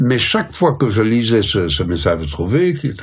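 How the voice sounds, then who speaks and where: Against noticeable background noise, a man speaks at a moderate pace and medium pitch with very wide pitch swings. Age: 70s. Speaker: professor and translator. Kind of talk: interview. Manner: hesitant, many fillers.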